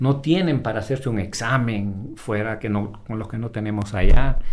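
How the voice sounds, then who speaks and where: A man at a medium pitch, speaking at a fairly slow pace, with audible room echo. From Honduras, La Esperanza. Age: 50s. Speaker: emergency doctor. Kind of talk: casual interview chat. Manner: halting, many repetitions.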